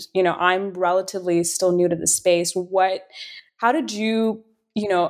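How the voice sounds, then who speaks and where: With fairly even intonation, an unremarkable speaking voice proceeds at a moderate pace. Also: woman. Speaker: podcast co-host, offering manager. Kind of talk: casual interview.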